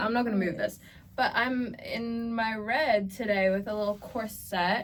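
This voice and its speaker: With an American accent, a woman speaks at a fairly slow pace in a fairly high pitch with fairly even intonation, over noticeable background noise. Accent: American-sounding. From Australia. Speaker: podcast co-host. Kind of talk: casual chat.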